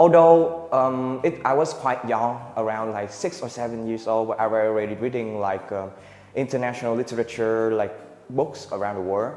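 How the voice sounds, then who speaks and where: Medium-pitched male voice at a moderate pace, ordinary pitch variation, noticeable background noise. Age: young. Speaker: student. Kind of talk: student presentation. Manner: halting.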